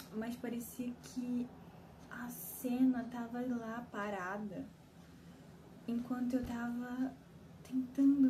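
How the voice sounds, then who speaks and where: Against noticeable background noise, a woman with a fairly high voice speaks at a very slow pace. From Belém, Brazil. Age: 20s. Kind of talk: personal vent to camera. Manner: emotional, confessional.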